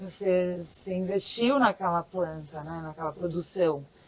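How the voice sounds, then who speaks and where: A woman with a Brazilian accent, medium pitch, ordinary pitch variation and a fairly slow pace. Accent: urban Brazilian. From São Paulo, Brazil. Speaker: farmer. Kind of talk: interview answer.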